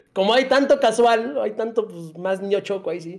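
A man speaks at a moderate pace in a Mexican accent. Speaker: gaming content creator. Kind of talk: casual chat.

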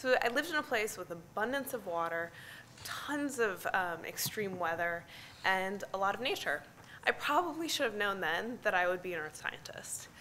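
With an American accent, a woman speaks at a moderate pace in a bright, sharp tone, her pitch swinging very widely over light background noise. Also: medium pitch for a woman. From US Midwest, near Chicago. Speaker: climate scientist; conference presenter. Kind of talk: conference talk. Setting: stage with audience. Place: hall. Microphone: podium.

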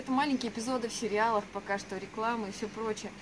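Noticeable background noise surrounds a woman speaking. Her fairly high voice stays in monotone, flat intonation. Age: 20s. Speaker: actress. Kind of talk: self-presentation. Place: street. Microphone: camera far.

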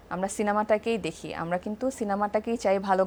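A woman with a fairly high pitch speaks in an ordinary speaking voice. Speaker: talk show host. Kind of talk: casual chat. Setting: studio. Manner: formal.

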